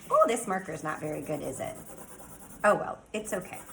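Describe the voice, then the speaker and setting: A woman's animated, medium-pitched voice, with audible room echo and noticeable background noise. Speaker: elementary school STEAM teacher. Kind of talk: tutorial.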